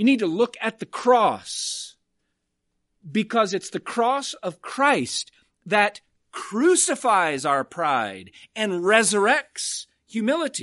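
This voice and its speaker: Against a quiet background, a woman speaks at a very slow pace with vocal fry and very wide pitch swings. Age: 50s. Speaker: pastor. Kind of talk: sermon.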